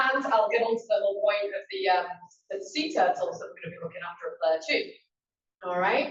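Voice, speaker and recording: A woman's very fast speech in a strong Yorkshire accent, with very wide pitch swings. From Yorkshire, northern England. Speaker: conservation coordinator. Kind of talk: presentation to a meeting. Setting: meeting room with audience. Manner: loud; casual, with fillers.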